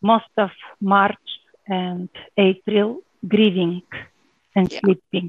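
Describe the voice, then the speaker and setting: A woman's medium-pitched voice at a very slow pace with fairly even intonation. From Bulgaria. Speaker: tour company founder. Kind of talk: interview.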